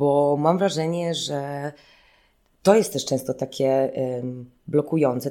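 Speaking very slowly with long, frequent pauses, a woman uses a very deep, low pitch and a dark, mellow tone. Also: ordinary pitch variation. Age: 30s. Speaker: choreographer and dancer. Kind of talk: interview. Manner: hesitant, many fillers.

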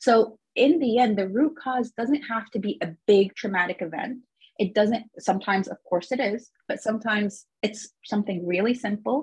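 At a moderate pace and with hardly any pauses, a woman speaks in a somewhat breathy voice with ordinary pitch variation. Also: fairly high pitch for a woman. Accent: American. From Egyptian American, lived in several countries. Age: 30s. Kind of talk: interview.

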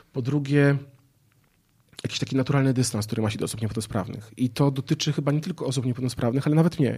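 A man talks at a very fast pace in a somewhat breathy, dark, mellow voice of medium pitch. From northern Poland, Gdańsk area. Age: 30s. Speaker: entrepreneur and public speaker. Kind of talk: casual interview. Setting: outdoor studio.

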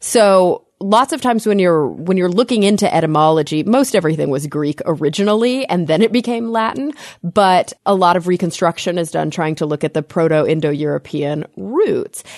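A woman with an ordinary speaking voice and a fairly low pitch talks at a moderate pace with lively intonation and hardly any pauses, recorded with a dry, close sound, no echo and a quiet background. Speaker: podcast co-host. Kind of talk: casual chat.

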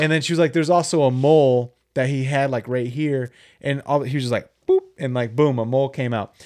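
Against a quiet background, a man speaks in a normal speaking voice. His pitch is fairly high and his intonation fairly even. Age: 20s. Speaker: podcast co-host. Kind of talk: casual chat.

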